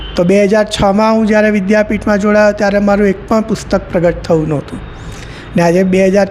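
Against noticeable background noise, a man speaks at a high pitch with fairly even intonation. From Surat, Gujarat. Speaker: professor and poet. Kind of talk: interview.

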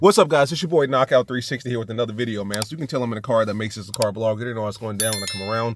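Speaking at a very fast pace, a man shows ordinary pitch variation in a dry sound with no echo and light background noise. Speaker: car vlogger. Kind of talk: casual vlog chat. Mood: frustrated, emphatic. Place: car. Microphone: phone near.

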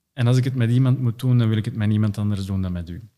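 A man speaks in a dark, mellow tone with fairly even intonation. The background is quiet. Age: 30s. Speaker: company CEO; podcast guest. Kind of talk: interview conversation. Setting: in person studio. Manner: hesitant with many fillers. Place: home room. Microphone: studio mic.

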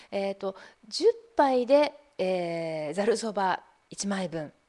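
A woman with an ordinary speaking voice talks at a medium pitch with lively intonation. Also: quiet background. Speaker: online broadcaster and seminar organizer. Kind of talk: live-stream presentation. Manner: polite, formal.

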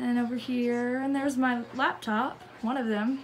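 With audible room echo, a woman speaks at a high pitch.

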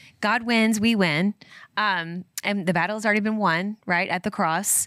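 In a Kentucky accent, a woman with a bright, sharp tone talks at a moderate pace with fairly even intonation and very even loudness, the sound dry with no echo and the background quiet. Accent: Kentucky accent, flares on some words. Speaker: podcast co-host. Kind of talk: casual devotional scripture talk. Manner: conversational with many fillers. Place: studio. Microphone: studio mic.

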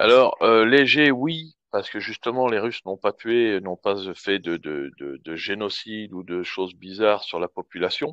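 A plain, everyday voice moves at a fairly slow pace with lively intonation and hardly any pauses, recorded dry and close with no echo against a quiet background. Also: man, fairly low pitch for a man. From France. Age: 40s. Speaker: expat public relations worker. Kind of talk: live Q&A in online audio room.

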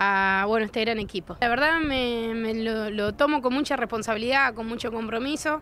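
A woman with a high pitch talks at a fairly quick pace with ordinary pitch variation, in a dry sound with no echo and light background noise. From Argentina, Coronda (Santa Fe); Santa Fe, Argentina. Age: 30s. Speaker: politician. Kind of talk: press interview. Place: street.

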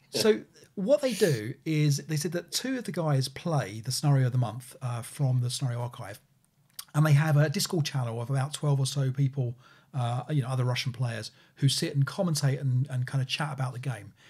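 A man talks at a fairly quick pace with ordinary pitch variation and a somewhat breathy quality. The background is quiet. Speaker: podcast co-host. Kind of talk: casual podcast discussion. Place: home room.

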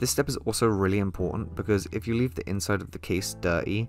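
With music in the background, a man with a very deep, low pitch talks at a fairly quick pace with lively intonation. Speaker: PC restoration hobbyist. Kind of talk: voice-over narration of a tutorial. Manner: casual.

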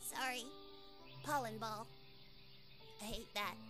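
A cartoonish character voice from a woman, fairly high-pitched and fairly slow, over loud music in the background. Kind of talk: animation character performance.

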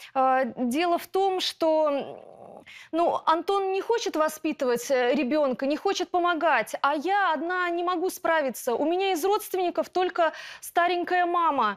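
Her pitch is extremely high, with ordinary pitch variation, and this woman speaks at a fairly slow pace. The background is quiet. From Russia. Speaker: schoolteacher, plaintiff; schoolteacher. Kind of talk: courtroom testimony. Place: studio.

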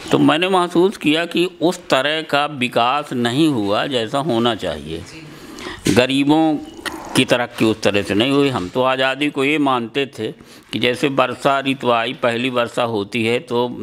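Very slow delivery with ordinary pitch variation over light background noise. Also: man. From Madhya Pradesh, Satna district (Baghelkhand); Madhya Pradesh, India. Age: 70s. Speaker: farmer, seed conservationist and poet; poet. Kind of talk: interview. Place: home room. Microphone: handheld.

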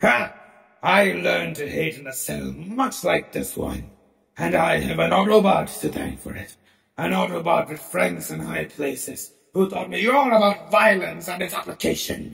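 A man does a put-on character voice at a moderate pace, with a clear echo. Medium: audio drama. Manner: sardonic, contemptuous.

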